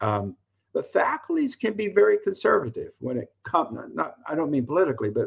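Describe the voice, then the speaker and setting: His pace is fairly quick. The man speaks with a Southern US accent. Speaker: college professor and former administrator. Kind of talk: interview. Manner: halting.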